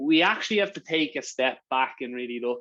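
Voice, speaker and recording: The background is quiet as a man speaks in an Irish accent. He holds a medium pitch with ordinary variation at a moderate pace. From Ireland. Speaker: sales partnerships manager giving a workshop. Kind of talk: online workshop presentation. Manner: casual, with frequent fillers and repetitions.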